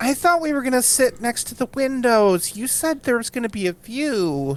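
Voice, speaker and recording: Pitched high, a nasal, female-sounding put-on character voice carries the clip. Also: moderate pace. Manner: annoying, complaining.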